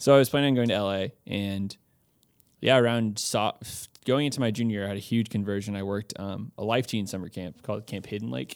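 A man with an American accent speaks at a fairly quick pace in a normal speaking voice, his fairly low pitch moving with ordinary variation while his loudness swings widely. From Texas, Austin. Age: 20s. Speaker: campus missionary. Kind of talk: casual interview.

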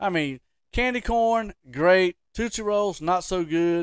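On a very clean recording with a silent background, a man with a Southern US accent talks in an animated tone with a high pitch, lively intonation, and a dry, close sound with no echo. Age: 50s. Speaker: podcast host. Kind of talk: casual chat.

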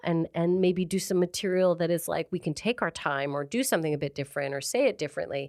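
A woman with a Canadian accent talks at a fairly quick pace in an unremarkable speaking voice, her pitch fairly low with ordinary variation. The recording is very clean, dry and close, with a silent background and no echo. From Canada (Calgary, Alberta). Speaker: stand-up comedian. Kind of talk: casual chat.

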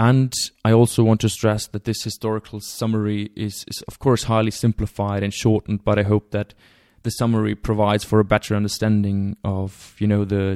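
Someone with a German accent speaks at a fairly quick pace in a monotone, flat delivery. The sound is dry and close with no echo, on a very clean recording over a silent background. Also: man. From Germany. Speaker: podcast host. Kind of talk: lecture-style introduction.

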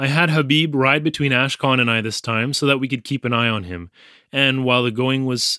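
This recording is plain reading aloud.

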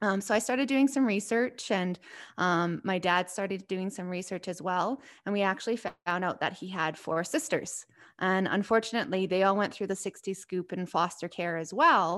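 A woman speaks with a Canadian accent at a moderate pace, with ordinary pitch variation. It is an unremarkable speaking voice on a very clean recording with a silent background. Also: medium pitch for a woman. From southern Alberta, Canada. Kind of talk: interview.

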